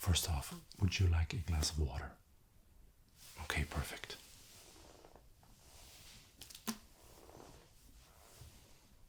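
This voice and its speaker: A whisper in a calm tone moves at a very slow pace, with long, frequent pauses and big swings in loudness. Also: man. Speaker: ASMR creator playing a camera operator. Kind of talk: ASMR roleplay, soft spoken to the listener. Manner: soft, whispered, calm, friendly.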